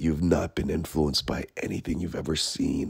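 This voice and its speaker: This man talks with a very deep, low pitch and vocal fry. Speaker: artist. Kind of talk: casual podcast monologue.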